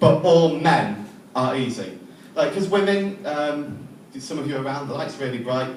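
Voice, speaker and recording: Through audible room echo and noticeable background noise, a man talks at a moderate pace with lively intonation. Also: fairly high pitch for a man. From England. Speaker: stand-up comedian. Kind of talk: stand-up. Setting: comedy club stage with audience. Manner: hesitant, many ums.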